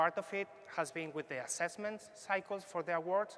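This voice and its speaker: A man's bright, sharp voice moves at a fairly quick pace with ordinary pitch variation. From Spain. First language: Spanish. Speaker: foresight consultant. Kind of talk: workshop presentation.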